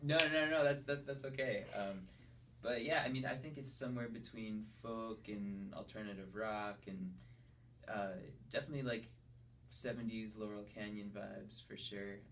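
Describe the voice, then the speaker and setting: A man with an American accent talks at a moderate pace and a medium pitch. His pitch variation is ordinary, and audible room echo surrounds his voice. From Connecticut. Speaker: singer-songwriter. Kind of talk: radio interview. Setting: studio. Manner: halting, many fillers and restarts.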